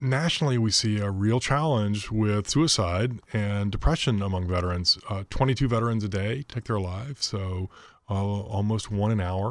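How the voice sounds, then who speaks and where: In a very clean recording with a silent background, a man with an unremarkable speaking voice talks at a fairly low pitch and moderate pace, with ordinary pitch variation and hardly any pauses. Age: 50s. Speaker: nonprofit executive. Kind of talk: radio interview.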